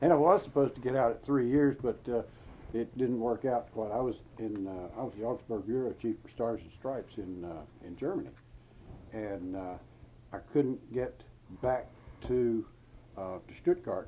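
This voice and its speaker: A man with a North Carolina accent speaks at a medium pitch and moderate pace, in a dark, mellow tone. His loudness swings widely, his pitch varies in an ordinary way, and he leaves long, frequent pauses. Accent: Southern US (North Carolina). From US South, North Carolina. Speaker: war veteran. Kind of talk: interview. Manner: halting.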